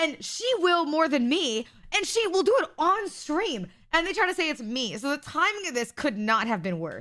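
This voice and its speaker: A woman speaks at a moderate pace in a high, bright, sharp voice, her pitch swinging very widely. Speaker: livestreamer. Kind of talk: casual chat.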